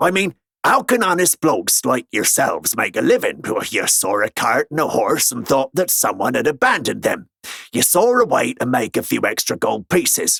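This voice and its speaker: A man puts on a character voice at a high pitch and a moderate pace. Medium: read story. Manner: wry, self-assured.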